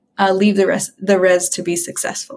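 Somewhat breathy, a woman's voice comes through with an American accent. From Western Montana, US. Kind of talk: casual interview. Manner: halting, many fillers.

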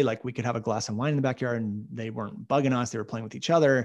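Pitch variation is ordinary here. It is a normal speaking voice. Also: man. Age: 30s. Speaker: online video marketing consultant. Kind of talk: interview. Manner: uses many fillers.

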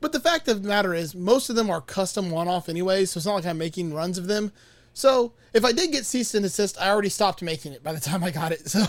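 A man with an American accent talks at a very fast pace in a high pitch. His intonation is lively, and the recording is very clean with a silent background. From Miami, Florida. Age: 40s. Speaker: guitar pedal builder. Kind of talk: casual chat.

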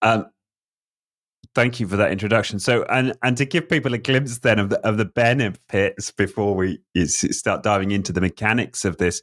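Recorded very cleanly against a silent background, a man with a plain, everyday voice speaks with ordinary pitch variation. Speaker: podcast host. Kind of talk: interview conversation.

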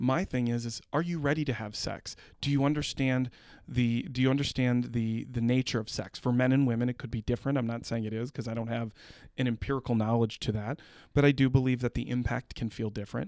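An unremarkable speaking voice from a man, fairly quick and fairly even in intonation, in a very clean recording with a silent background. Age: 40s. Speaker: real estate executive. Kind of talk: casual chat.

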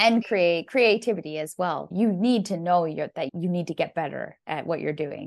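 A woman with a Canadian accent talks at a moderate pace in a fairly low pitch, a plain, everyday voice. The background is quiet. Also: ordinary pitch variation, hardly any pauses. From Canada. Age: 30s. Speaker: landscape photographer. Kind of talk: casual chat.

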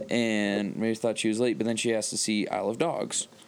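Here is a plain, everyday voice. It moves at a fairly quick pace. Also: man. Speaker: podcast co-host. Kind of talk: casual chat. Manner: joking.

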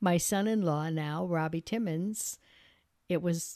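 A woman with an American accent has an ordinary speaking voice, fairly low in pitch with ordinary pitch variation. The recording is very clean, with a silent background. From upstate New York, Peru area. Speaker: retired state legislator. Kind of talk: casual interview.

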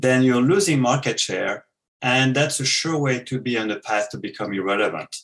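Speaking with a French accent, a man uses lively intonation at a medium pitch and a moderate pace. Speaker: business author. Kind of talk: interview.

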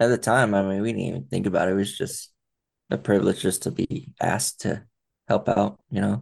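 This man has a fairly low pitch, vocal fry and lively intonation, speaking at a moderate pace. He leaves long, frequent pauses against a quiet background. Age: 40s. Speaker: spinal cord injury survivor, foundation cofounder. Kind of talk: interview.

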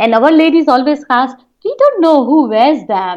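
At a moderate pace, a woman speaks high and with lively intonation. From India, Jodhpur, Rajasthan. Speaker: nonprofit founder. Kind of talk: interview conversation.

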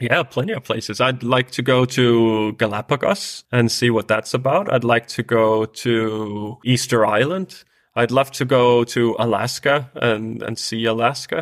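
On a very clean recording with a silent background, a man with a Danish accent speaks at a fairly slow pace with hardly any pauses, his medium pitch showing ordinary variation. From Denmark. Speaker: world traveler. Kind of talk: interview.

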